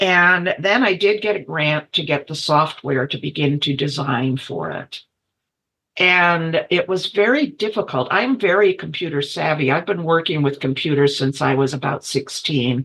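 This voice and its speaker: A woman talks with a very deep, low pitch. Her pace is moderate and her intonation lively. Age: 70s. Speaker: multidisciplinary artist. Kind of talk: interview conversation.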